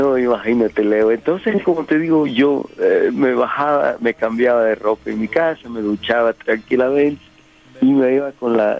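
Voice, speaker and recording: Noticeable background noise sits behind a man's medium-pitched voice. He talks fairly slowly with ordinary pitch variation. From El Salvador, San Salvador. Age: 60s. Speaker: musician. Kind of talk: casual chat.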